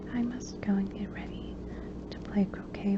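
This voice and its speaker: Noticeable background noise sits under a woman who is whispering at a moderate pace. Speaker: ASMR reader. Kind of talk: soft-spoken audiobook reading for relaxation. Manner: soft-spoken, quiet.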